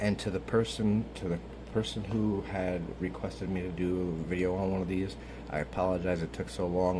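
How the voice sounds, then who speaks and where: A man talks at a fairly quick pace, quietly, with a very deep, low pitch and ordinary pitch variation. His tone is dark and mellow, with vocal fry. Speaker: YouTuber doing a vape tutorial. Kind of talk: tutorial. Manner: casual, filler-heavy.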